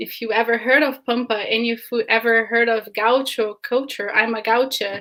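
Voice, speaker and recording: A woman's fairly high voice in a Brazilian Portuguese accent, bright and sharp in tone, at a moderate pace with monotone, flat intonation and hardly any pauses. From southern Brazil, Canoas near Porto Alegre. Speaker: film producer. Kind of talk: interview.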